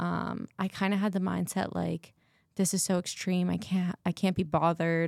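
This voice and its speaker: A woman with a fairly low pitch speaks at a moderate pace. The sound is dry and close with no echo, on a very clean recording with a silent background. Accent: American. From Massachusetts. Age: 20s. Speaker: bikini bodybuilder and new personal trainer. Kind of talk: casual interview.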